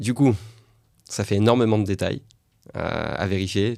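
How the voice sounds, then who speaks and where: A man with a fairly low voice talks at a fairly slow pace in a flat monotone, recorded very cleanly against a silent background. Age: 30s. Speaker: podcast host, rabbi teacher. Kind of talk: interview.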